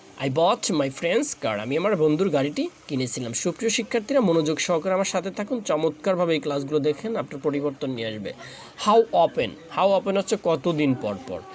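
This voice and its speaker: Over noticeable background noise, a man with a fairly high voice swings his pitch very widely. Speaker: English teacher. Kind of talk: tutorial.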